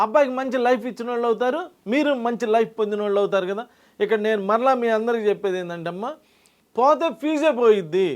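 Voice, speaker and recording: A man speaks with an extremely high pitch. The background is quiet. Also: ordinary pitch variation. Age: 60s. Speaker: numerologist. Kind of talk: interview.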